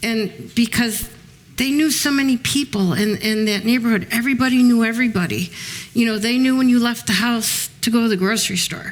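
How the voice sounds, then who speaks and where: A woman talks at a fairly quick pace with an American accent. Noticeable background noise runs underneath. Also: ordinary pitch variation. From Chicago. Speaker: author and former mob wife. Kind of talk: panel talk with audience. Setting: museum event with audience. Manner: hesitant, many ums.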